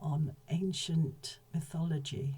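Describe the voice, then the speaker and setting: A woman's very deep, low voice, somewhat breathy, with a dark, mellow tone and fairly even intonation. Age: 70s. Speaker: whistleblower, former mental health professional. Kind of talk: personal testimony.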